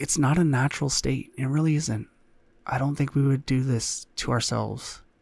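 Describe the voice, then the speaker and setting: Somewhat breathy, a man speaks at a moderate pace with very even loudness. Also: medium pitch for a man, fairly even intonation. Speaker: solo podcaster. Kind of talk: solo monologue to camera. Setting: home recording in front of a camera. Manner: halting, many fillers and repeats.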